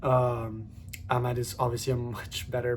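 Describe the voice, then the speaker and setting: This is a man speaking. His voice sits at a medium pitch. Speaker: football fan video creator. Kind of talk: casual football talk monologue. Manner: fast; animated.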